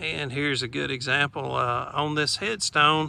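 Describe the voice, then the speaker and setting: A man's relaxed, bright, sharp tone at a fairly high pitch, with a Southern US accent. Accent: Southern US country. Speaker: vlogger. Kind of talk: casual vlog narration. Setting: outdoors. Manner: relaxed, many filler uh's.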